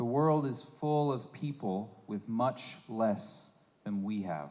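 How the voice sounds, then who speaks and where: Amid audible room echo, a man with a dark, mellow tone speaks very slowly. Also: medium pitch for a man, lively intonation. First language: English (speaking Spanish). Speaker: visiting preacher. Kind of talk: sermon. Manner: halting.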